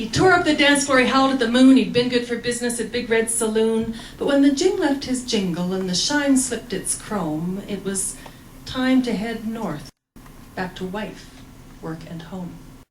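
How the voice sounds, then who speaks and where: Amid noticeable background noise, a woman with a fairly high pitch talks at a moderate pace with lively intonation and big swings in loudness. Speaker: cowboy poet. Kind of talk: poetry reading.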